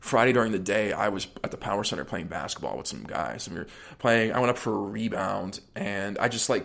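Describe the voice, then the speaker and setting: An unremarkable speaking voice with an American accent moves at a fairly quick pace, the intonation fairly even. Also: man. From US, Pittsburgh suburbs. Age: 20s. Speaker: drummer. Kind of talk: casual chat.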